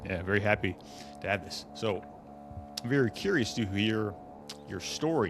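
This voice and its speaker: Music plays behind a man speaking in a fairly low pitch. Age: 20s. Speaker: wellness podcast host. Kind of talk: interview.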